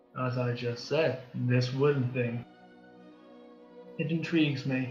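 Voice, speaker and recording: In a put-on character voice, the speaker sounds gruff, with flat, monotone intonation at a fairly slow pace. Clear music plays in the background, and there is a slight echo. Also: man, medium pitch for a man. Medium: actual play. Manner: terse, curious.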